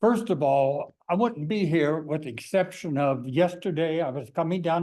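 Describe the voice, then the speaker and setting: Fairly slow speech from a man with an American accent, a fairly high pitch, a dark, mellow tone and ordinary pitch variation. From eastern US. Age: 70s. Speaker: local business owner, public commenter. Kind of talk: public comment. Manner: blunt.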